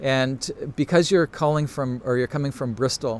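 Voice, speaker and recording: A man with a Canadian accent and an unremarkable speaking voice talks at a moderate pace with a fairly high pitch and fairly even intonation. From Canada. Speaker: photography teacher. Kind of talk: live Q&A stream. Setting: Instagram live broadcast.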